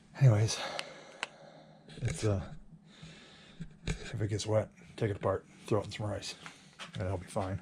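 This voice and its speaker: A quiet man with a fairly low pitch talks at a moderate pace with fairly even intonation and long, frequent pauses. Background noise is noticeable. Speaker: kayak fishing vlogger. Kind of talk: casual vlog talk to camera. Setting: at home at night. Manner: quiet, hushed.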